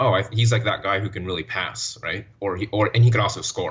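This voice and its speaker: This is a man with an American accent. His fairly low voice keeps a fairly even intonation. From Florida (Orlando), US. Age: 20s. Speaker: basketball writer. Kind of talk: interview. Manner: halting, frequent repetitions.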